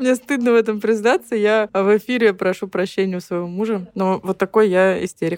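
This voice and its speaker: A woman in a normal speaking voice at a moderate pace, medium pitch and fairly even intonation, with hardly any pauses and a dry, close sound with no echo. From Ukraine, rural village. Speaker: fashion designer. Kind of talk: casual chat.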